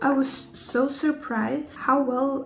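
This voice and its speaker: The speaker has a non-native accent. Noticeable background noise and audible room echo fill the recording. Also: woman. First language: not English. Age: 20s. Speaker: lifestyle vlogger. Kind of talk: casual chat. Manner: halting.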